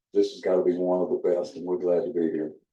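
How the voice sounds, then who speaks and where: A man is speaking. He has a Southern US accent. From South Carolina. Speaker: museum docent. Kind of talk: panel introduction. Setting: rooftop deck with audience.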